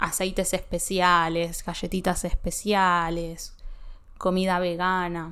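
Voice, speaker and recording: A woman speaks at a medium pitch and a very slow pace. The recording is very clean, and the background is silent. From Buenos Aires, Argentina. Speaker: Spanish teacher. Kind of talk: language-learning podcast talk.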